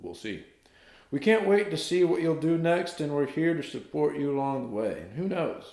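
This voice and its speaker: A man speaks at a moderate speed, and audible room echo follows his words. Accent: Southern US. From US South, North Carolina. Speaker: YouTuber and singer. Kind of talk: casual vlog, reading a letter aloud. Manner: animated.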